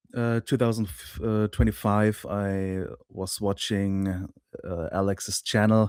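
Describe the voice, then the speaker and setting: Very slow speech in a German accent, dry and close with no echo, on a very clean recording with a silent background. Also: man. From Germany. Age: 30s. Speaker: online course client, YouTube creator. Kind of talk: interview. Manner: hesitant, many fillers.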